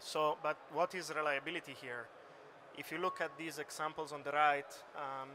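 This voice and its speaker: Speaking in an Italian accent, a man keeps a monotone, flat intonation at a fairly high pitch and a moderate pace. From Italy. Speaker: computer vision researcher. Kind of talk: conference talk. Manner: hesitant, many fillers.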